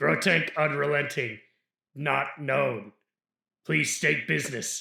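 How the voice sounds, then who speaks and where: In a put-on, robotic character voice, a man sounds raspy and fairly high-pitched, going at a fairly slow pace with slight echo. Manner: stiff, mechanical, formal.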